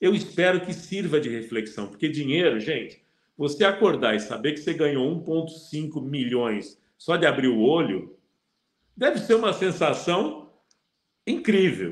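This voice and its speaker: Slowish and full of vocal fry, a man's fairly high voice swings very widely in pitch amid audible room echo. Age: 60s. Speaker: football pundit. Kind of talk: casual chat. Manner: halting.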